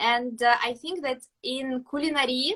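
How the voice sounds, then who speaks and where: A high-pitched woman's voice with a bright, sharp tone and fairly even intonation, fairly slow in pace, in a dry, close sound with no echo. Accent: Russian. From Russia. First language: Russian. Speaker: pastry chef. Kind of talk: interview. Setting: live video stream. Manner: halting.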